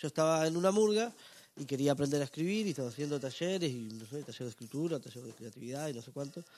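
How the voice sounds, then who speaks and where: A man's fairly high voice at a very fast pace, with lively intonation and big swings in loudness. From northern Uruguay (Salto). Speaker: stand-up comedian. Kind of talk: casual interview chat.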